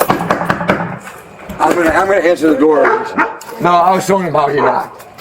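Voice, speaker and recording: A man speaks at a high pitch with fairly even intonation and very even loudness. Audible room echo and noticeable background noise fill the recording. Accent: New York. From New York. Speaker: man questioned by police. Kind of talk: heated argument. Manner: fast, talking over others.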